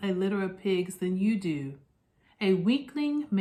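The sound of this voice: This unforced reading voice carries lively intonation.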